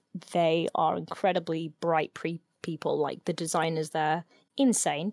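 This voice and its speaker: A woman's voice with vocal fry, dry and close with no echo, in a very clean recording over a silent background. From northern England, partly raised in Middle East. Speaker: cosplayer. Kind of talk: casual chat.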